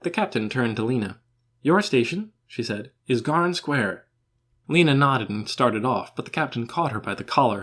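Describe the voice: Against a quiet background, the speaker is plain reading aloud with lively intonation.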